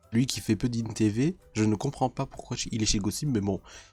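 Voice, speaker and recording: Music plays behind a man whose medium-pitched voice shows ordinary pitch variation. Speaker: YouTuber reacting to videos. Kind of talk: casual reaction video monologue. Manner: stumbling over words.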